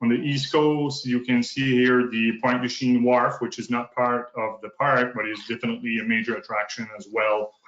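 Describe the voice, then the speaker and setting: With a slight French Canadian accent, a man at a medium pitch speaks at a moderate pace with fairly even intonation and hardly any pauses. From northern New Brunswick, Canada (francophone). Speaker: provincial park manager. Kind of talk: conference presentation. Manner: halting.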